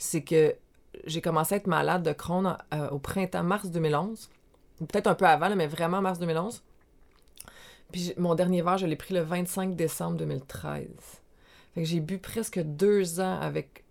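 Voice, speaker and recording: Speaking at a very slow pace with long, frequent pauses, a woman keeps a fairly low pitch and fairly even intonation. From Quebec, Montreal South Shore. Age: 40s. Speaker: life coach. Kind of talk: casual interview.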